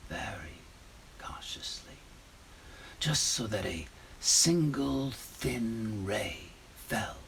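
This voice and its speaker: Putting on a character voice, a man speaks at a very slow pace in an intense tone with very wide pitch swings over light background noise. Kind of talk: gothic horror monologue. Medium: stage play. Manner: intense, conspiratorial, proud of his cunning.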